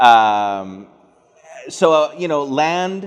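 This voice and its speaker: A man's very slow speech in a Canadian accent, with lively intonation. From Atlantic Canada. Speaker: academic speaker. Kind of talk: lecture. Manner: loud.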